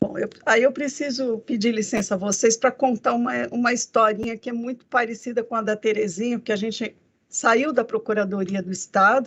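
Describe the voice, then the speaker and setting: A woman with an unremarkable speaking voice, fairly high-pitched, at a moderate pace with fairly even intonation. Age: 60s. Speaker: federal judge, court president. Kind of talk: speech to students. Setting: video call from her office. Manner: conversational, with fillers.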